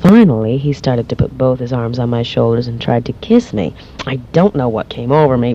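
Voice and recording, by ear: With ordinary pitch variation, a voice reads a passage aloud naturally.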